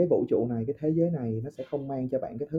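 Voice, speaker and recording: Somewhat breathy and fairly high in pitch, a man speaks at a very fast pace with ordinary pitch variation. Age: 20s. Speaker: podcast guest. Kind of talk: casual chat. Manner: halting.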